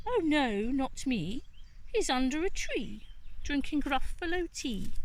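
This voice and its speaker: A woman's put-on character voice, high-pitched and fairly slow, over clear background noise. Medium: read story.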